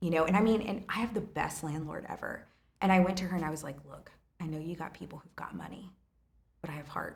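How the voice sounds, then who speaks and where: Animated and very fast, a woman speaks at a fairly low pitch with ordinary pitch variation and big swings in loudness. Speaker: restaurant owner. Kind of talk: casual chat.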